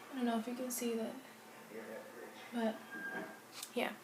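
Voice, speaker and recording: A woman with monotone, flat intonation, heard through audible room echo and noticeable background noise. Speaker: natural hair vlogger. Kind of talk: casual tutorial vlog. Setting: home bathroom, filming self.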